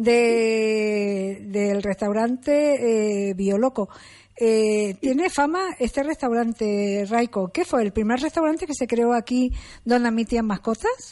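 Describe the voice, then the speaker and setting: A woman's fairly high-pitched voice with a dark, mellow tone at a very slow pace. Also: ordinary pitch variation. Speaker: radio host. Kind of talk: radio interview. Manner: halting.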